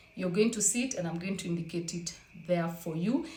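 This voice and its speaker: A woman's medium-pitched voice, with ordinary pitch variation, is heard with audible room echo. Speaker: fitness vlogger. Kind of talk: casual vlog talk.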